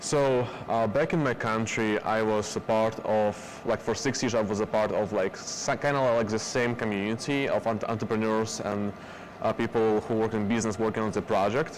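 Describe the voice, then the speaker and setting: A man with fairly even intonation and very even loudness, over noticeable background noise. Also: medium pitch for a man, moderate pace. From Belarus. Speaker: productivity trainer. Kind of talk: interview. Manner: halting.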